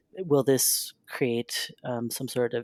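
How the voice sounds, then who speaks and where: The recording is very clean and dry, with a close sound, no echo and a silent background. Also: man. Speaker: gender diversity consultant. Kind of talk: podcast conversation. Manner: halting.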